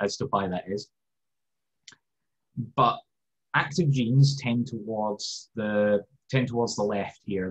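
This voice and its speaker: A man speaks in a Scottish accent at medium pitch. His voice is somewhat breathy. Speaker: science lecturer, foundation director. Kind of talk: educational lecture. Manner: casual, humorous.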